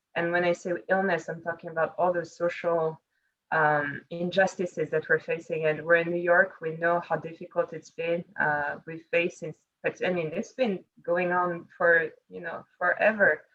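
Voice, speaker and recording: With a French accent, a woman talks at a moderate pace in a fairly low pitch, her intonation monotone and flat. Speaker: panelist on women in leadership. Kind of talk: panel discussion.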